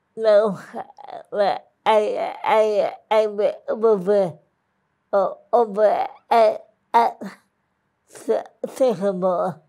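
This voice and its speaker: A woman speaks at a very slow pace, with long, frequent pauses. The background is quiet. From South Dakota. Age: 70s. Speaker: parishioner. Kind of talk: interview. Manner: halting, repeats words. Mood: cheerful, laughing. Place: studio.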